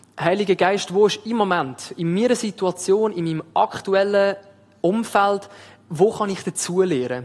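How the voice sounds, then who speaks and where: With an Aargau accent, the speaker goes at a fairly slow pace with ordinary pitch variation. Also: man, high pitch for a man. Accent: Aargau Swiss. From Switzerland, Aargau. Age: 20s. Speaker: theology student preaching as intern. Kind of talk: sermon. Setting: church service with livestream.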